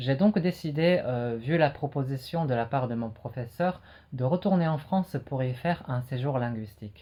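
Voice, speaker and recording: A man with a Japanese accent has a dark, mellow tone and sounds somewhat breathy. The background is quiet. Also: medium pitch for a man, ordinary pitch variation, moderate pace. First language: Japanese (speaking French). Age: 20s. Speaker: French teacher and learner. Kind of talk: personal retrospective monologue. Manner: hesitant with frequent fillers.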